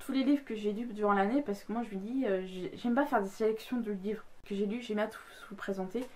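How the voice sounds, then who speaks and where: A woman's fairly high pitch at a very fast pace, with fairly even intonation. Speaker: book youtuber. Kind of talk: casual vlog talk. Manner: hesitant, many fillers.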